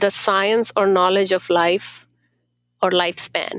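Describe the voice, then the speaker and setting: The sound is dry and close, with no echo at all. A woman talks at a very slow pace. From India. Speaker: Ayurveda practitioner and accountant. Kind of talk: interview.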